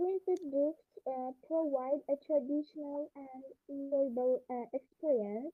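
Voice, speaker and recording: Quiet and high-pitched, a woman speaks at a fairly slow pace with fairly even intonation and big swings in loudness. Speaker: debate club participant. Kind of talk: debate argument. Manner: halting. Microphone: far from device, too quiet.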